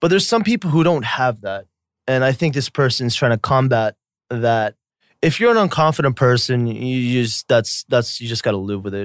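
In an unremarkable speaking voice, a man with an American accent talks at medium pitch and a moderate pace, recorded very cleanly with a silent background and a dry, close sound with no echo. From US South. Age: 30s. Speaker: YouTuber. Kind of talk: casual chat.

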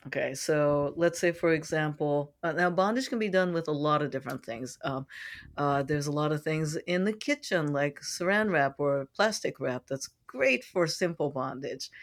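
A woman with an American accent speaks at a very deep, low pitch on a very clean recording with a silent background. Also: ordinary pitch variation, moderate pace. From San Francisco, US. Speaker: sex educator and coach. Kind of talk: interview, expert advice.

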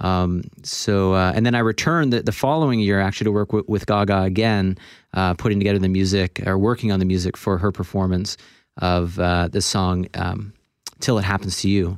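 A man's plain, everyday voice with an American accent, fairly low in pitch with ordinary pitch variation and very even loudness, in a very clean recording with a silent background. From Florida, US. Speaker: film composer and conductor. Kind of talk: radio interview. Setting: radio studio.

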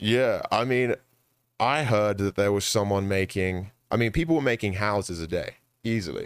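In a London accent, a man speaks at a fairly low pitch and a moderate pace. His pitch variation is ordinary, on a very clean recording with a silent background. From London, England. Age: 20s. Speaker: esports content creator and amateur boxer. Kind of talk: casual chat.

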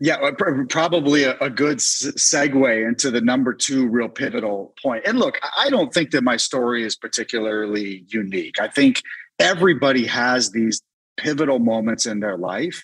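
With an American accent, a plain, everyday voice moves at a moderate pace with ordinary pitch variation. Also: man, medium pitch for a man. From Northern Virginia. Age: 40s. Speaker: restaurant founder and entrepreneur. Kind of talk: interview conversation. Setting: video call. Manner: frequent repetitions and false starts.

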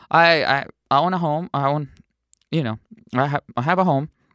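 Speaking at a fairly quick pace in a Southern California accent, a man with a fairly high pitch and a bright, sharp tone sounds dry and close, with no echo. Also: long, frequent pauses, very clean recording, silent background. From Mexico, raised in San Diego. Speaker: musician and artist. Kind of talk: casual interview.

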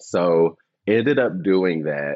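Very deep and low, this man's voice moves with lively intonation. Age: 30s. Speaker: interior designer. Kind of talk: casual interview.

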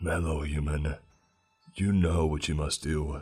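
A put-on character voice, croaky and raspy, delivers lines in a monotone, flat intonation. Faint music plays in the background. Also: man, very deep, low pitch for a man, fairly slow pace. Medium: read story. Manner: cryptic, solemn.

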